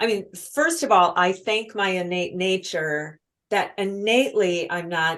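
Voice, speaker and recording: Using a normal speaking voice, a woman talks fairly slowly at medium pitch with ordinary pitch variation. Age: 60s. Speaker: author and speaker on women's purpose. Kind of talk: podcast interview.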